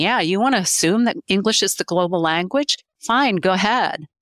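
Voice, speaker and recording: With lively intonation and a moderate pace, a woman of medium pitch speaks in a plain, everyday voice, the sound dry and close with no echo. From grew up overseas, born in Pennsylvania. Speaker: business owner in translation services. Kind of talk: interview conversation.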